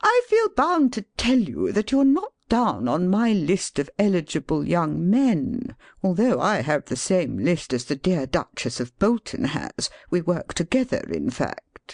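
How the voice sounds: A put-on character voice at middle pitch, fairly slow, with hardly any pauses.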